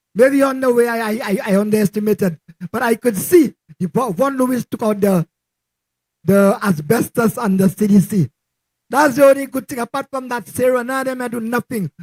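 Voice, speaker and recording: A man with an extremely high pitch speaks at a fairly quick pace with ordinary pitch variation, the sound dry and close with no echo. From Saint Lucia, Castries. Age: 60s. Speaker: local resident giving endorsement. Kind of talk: political rally speech. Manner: halting, repetitive.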